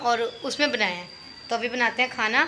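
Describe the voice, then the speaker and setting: Light background noise sits behind a woman's voice. She speaks at a high pitch and a moderate pace. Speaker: family vlogger. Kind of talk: casual vlog chat. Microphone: phone near.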